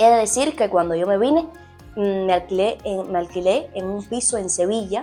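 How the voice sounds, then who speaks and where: Over music in the background, someone with a Cuban accent speaks at a moderate pace with lively intonation. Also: woman. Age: 20s. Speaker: sports journalist. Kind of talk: casual talk to camera; informational guide.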